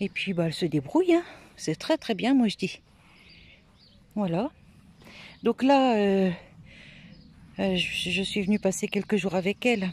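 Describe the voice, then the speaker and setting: At a fairly slow pace, a woman of medium pitch talks with long, frequent pauses. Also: dry, close sound with no echo. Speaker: gardening vlogger. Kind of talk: casual vlog walkthrough. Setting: outdoors in garden. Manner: soft-spoken.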